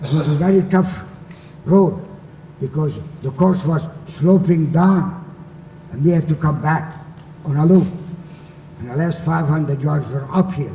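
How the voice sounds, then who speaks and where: Amid audible room echo and noticeable background noise, a man with a fairly high pitch speaks with fairly even intonation and long, frequent pauses. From Hungary, Budapest. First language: Hungarian. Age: 80s+. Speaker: Holocaust survivor. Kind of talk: talk to students.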